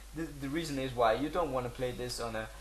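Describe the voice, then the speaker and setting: A man's voice with audible room echo. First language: not English. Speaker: gaming video creator. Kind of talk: tutorial. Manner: halting, many fillers.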